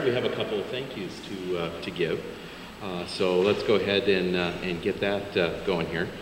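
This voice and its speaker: Moderately paced speech from a man with a very deep, low pitch, set against noticeable background noise. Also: fairly even intonation. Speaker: interviewer. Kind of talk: interview question. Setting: museum event with audience. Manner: hesitant, filler-heavy.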